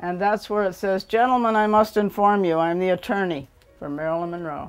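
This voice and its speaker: Music plays in the background as a woman with an American accent speaks at a fairly quick pace with ordinary pitch variation. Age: 70s. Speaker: burlesque dancer. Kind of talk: documentary interview answer.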